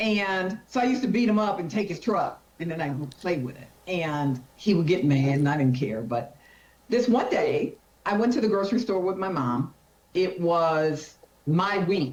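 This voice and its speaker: A woman with a medium-pitched voice speaks in an animated tone, her pitch swinging very widely. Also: moderate pace. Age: 60s. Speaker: carpenter and workwear brand founder. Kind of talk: casual interview chat.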